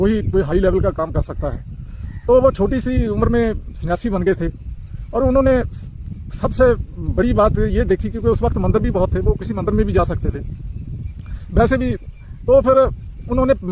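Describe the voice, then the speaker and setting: A man's voice broken by long, frequent pauses, with noticeable background noise. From Punjab, India. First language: Punjabi (speaking Hindi). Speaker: community speaker on religious tradition. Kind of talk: informal talk to camera. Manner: halting, many fillers and restarts.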